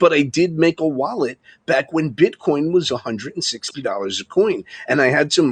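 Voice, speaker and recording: A man with a New York accent is heard in a dry, close recording with no echo. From Long Island, New York. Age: 50s. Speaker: live streamer. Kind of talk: casual chat.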